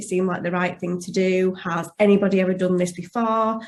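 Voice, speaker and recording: A woman speaks in a somewhat breathy voice with a slight Yorkshire accent. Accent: slight Yorkshire twang. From West Yorkshire, England. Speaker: life coach. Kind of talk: testimonial interview.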